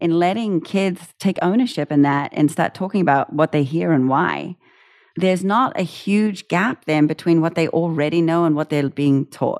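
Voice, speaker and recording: With a New Zealand accent, a woman talks at a moderate pace in a fairly low voice with ordinary pitch variation and very even loudness, the sound dry and close with no echo against a quiet background. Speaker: music education founder, former opera singer. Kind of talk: interview.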